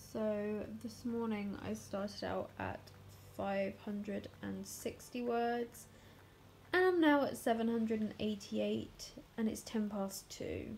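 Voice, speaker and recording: A woman speaks very slowly in a tired tone. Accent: South East English. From South East England. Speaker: vlogger. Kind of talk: casual vlog monologue. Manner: tired, chatty.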